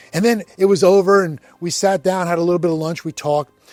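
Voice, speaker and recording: A man's high-pitched voice at a fairly quick pace, dry and close with no echo, over music in the background. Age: 60s. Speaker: men's ministry speaker. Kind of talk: devotional talk. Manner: casual, conversational.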